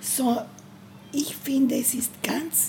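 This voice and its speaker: A woman with a Bolivian accent speaks at a fairly high pitch and a very slow pace. Noticeable background noise and audible room echo are present. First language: Spanish (speaking German). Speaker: feminist activist. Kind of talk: interview. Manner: halting.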